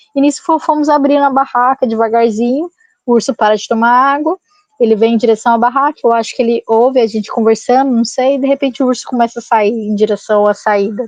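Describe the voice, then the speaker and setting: At a very fast pace, a woman talks with a high pitch and very even loudness. The sound is dry and close, with no echo. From Goiás, Brazil. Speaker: bicycle traveler. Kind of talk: podcast interview storytelling. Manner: animated.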